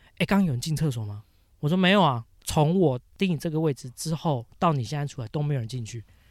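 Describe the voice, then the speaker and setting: A man speaks at a very fast pace with lively intonation and a fairly high pitch. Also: very clean recording, silent background. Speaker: podcast co-host. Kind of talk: casual chat.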